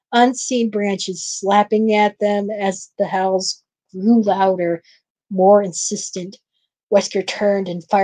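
A natural read-aloud voice with fairly even intonation against a quiet background

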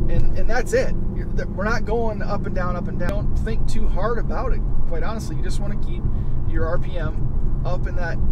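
Male speaker at a moderate pace, loud noise behind, dry sound without echo. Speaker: car vlogger driving. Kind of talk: casual vlog chat. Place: car. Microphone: camera far.

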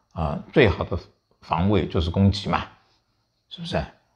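Speaking at a moderate pace, a man has a somewhat breathy voice. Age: 70s. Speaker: veteran journalist and commentator. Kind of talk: political commentary chat. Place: home room. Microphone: lapel.

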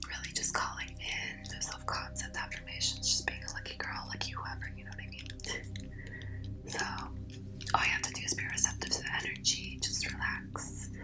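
A woman whispering, with big swings in loudness. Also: moderate pace. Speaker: reiki healer. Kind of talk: casual talk to camera. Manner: friendly, relaxed, casual.

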